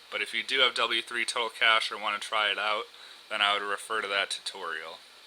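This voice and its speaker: Against noticeable background noise, a man with a fairly low voice speaks at a fairly quick pace in a monotone, flat intonation. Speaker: web tutorial creator. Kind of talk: tutorial. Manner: casual.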